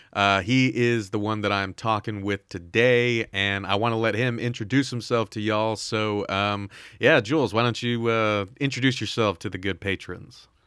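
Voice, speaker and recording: In an unremarkable speaking voice, a man talks at a moderate pace with hardly any pauses, his fairly low pitch held in fairly even intonation on a very clean recording with a silent background. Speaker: podcast host and interviewer. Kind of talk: casual interview. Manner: many filler words.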